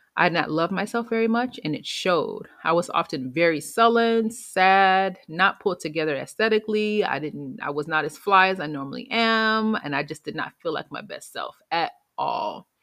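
Over a quiet background, a woman talks at a moderate pace with hardly any pauses, in an ordinary speaking voice. Her pitch sits in the middle of her range and her intonation is lively. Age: 30s. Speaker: podcast host and public health communicator. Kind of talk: solo podcast monologue.

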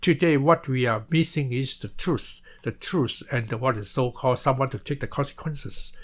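A man talks with hardly any pauses, ordinary pitch variation and a somewhat breathy voice. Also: fairly high pitch for a man, moderate pace. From Malaysia. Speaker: former political prisoner, author. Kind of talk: interview testimony. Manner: halting.

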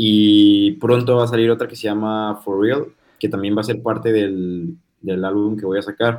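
A man's normal speaking voice, fairly low in pitch, with fairly even intonation and a fairly slow pace. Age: 20s. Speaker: rapper. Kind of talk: interview.

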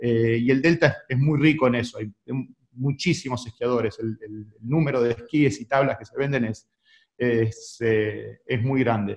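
Somewhat breathy, a man speaks at a fairly slow pace and medium pitch, with fairly even intonation and big swings in loudness. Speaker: sports federation president. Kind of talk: radio interview. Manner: halting, many repetitions.

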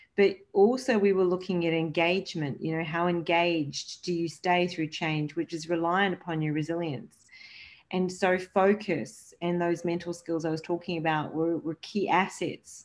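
In a normal speaking voice, a woman talks at a moderate pace with fairly low pitch and fairly even intonation against a quiet background. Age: 50s. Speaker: sports leadership coach. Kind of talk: interview.

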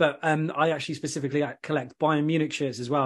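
A man with an English accent talks in a fairly high pitch. The background is quiet. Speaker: podcast host.

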